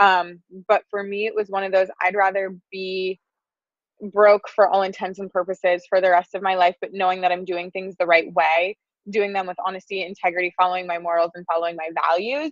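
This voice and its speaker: In an American accent, a woman at medium pitch speaks at a fairly quick pace with monotone, flat intonation and big swings in loudness, the sound dry and close with no echo. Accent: slight Wisconsin accent, noted by others. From Wisconsin, US Midwest. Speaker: public relations firm founder. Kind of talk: podcast interview. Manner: casual, many fillers.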